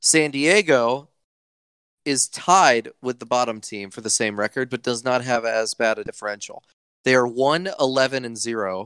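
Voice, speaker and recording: A man speaks at a fairly slow pace in a plain, everyday voice, with ordinary pitch variation and a dry, close sound with no echo. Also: medium pitch for a man. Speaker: podcast host. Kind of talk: casual banter about esports league.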